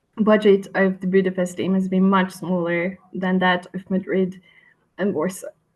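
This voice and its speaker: In a monotone, flat delivery, a woman speaks at a medium pitch. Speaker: researcher presenting study. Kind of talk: webinar presentation. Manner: halting, many fillers.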